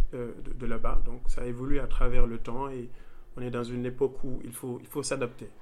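A man talks at a moderate pace. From Senegal, Thiès region. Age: young. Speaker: data engineer. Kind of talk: interview. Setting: in-person, Dakar. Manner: halting, many repetitions and fillers.

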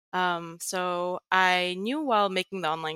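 A woman's bright, sharp, fairly low voice with fairly even intonation, dry and close with no echo, on a very clean recording with a silent background. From Netherlands, Greek family, international school. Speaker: tech writer and Git educator. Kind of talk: interview.

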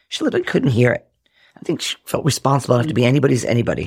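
A man with an American accent speaks at a very fast pace, somewhat breathy and fairly high in pitch. The recording is very clean, with a silent background. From Rhode Island, US. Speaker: actor and comedian. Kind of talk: casual interview, personal storytelling. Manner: animated.

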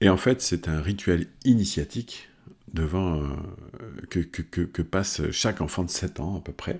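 Very deep, low male voice, somewhat breathy, at a fairly slow pace. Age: 50s. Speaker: performance coach. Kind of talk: motivational talk. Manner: hesitant, many fillers.

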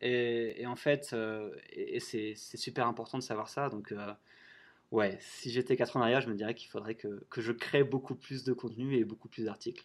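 This man talks at a moderate pace in a medium pitch. His intonation is monotone and flat. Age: 30s. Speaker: travel blogger and author. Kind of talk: interview. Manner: halting, many fillers and repetitions.

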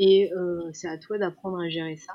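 Fairly slow speech with monotone, flat intonation. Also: woman. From Iran. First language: Persian (speaking French). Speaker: makeup artist. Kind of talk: interview. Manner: halting, many repetitions.

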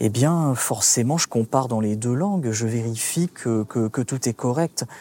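At a fairly slow pace, a man with an unremarkable speaking voice talks at a medium pitch. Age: 30s. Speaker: translator. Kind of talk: casual interview.

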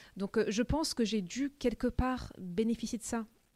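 A somewhat breathy woman's voice, fairly high in pitch, with ordinary pitch variation, on a very clean recording with a silent background and a dry, close sound with no echo. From France (Paris) with childhood in the US. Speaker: tech sales manager. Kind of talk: interview. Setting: company office.

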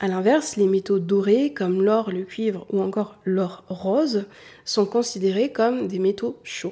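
A woman speaks at a fairly slow pace, her pitch sitting in the medium range. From southern France. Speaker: beauty and style coach, podcast host. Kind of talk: solo educational podcast monologue.

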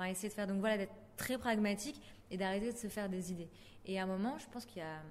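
Pitch variation stays ordinary. A woman talks at a very fast pace. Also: medium pitch for a woman. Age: 20s. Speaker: podcaster. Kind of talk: interview monologue.

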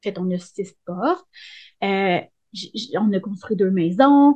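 A woman speaks in a Quebec accent with lively intonation against a quiet background. Her tone is dark and mellow and somewhat breathy. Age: 30s. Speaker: hairdresser. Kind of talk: casual interview. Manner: animated.

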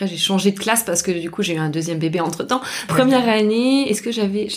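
A woman with a medium pitch and ordinary pitch variation talks against noticeable background noise. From southern France (Albi, near Toulouse). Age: 30s. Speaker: former researcher turned horticulture apprentice. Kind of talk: interview conversation. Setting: in person at a table, at host's home.

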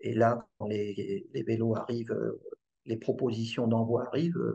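With vocal fry and a dark, mellow tone, a man speaks at a medium pitch and a fairly slow pace. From Paris region, France (Yvelines). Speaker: bike distributor. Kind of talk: interview. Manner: halting, repeats words.

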